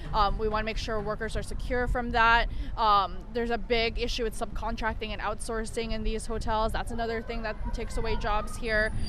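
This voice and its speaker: A woman talks at a fairly quick pace in a fairly high pitch, with monotone, flat intonation. Noticeable background noise and audible room echo surround her voice. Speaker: union communications specialist. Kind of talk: interview. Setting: outdoors at a picket line.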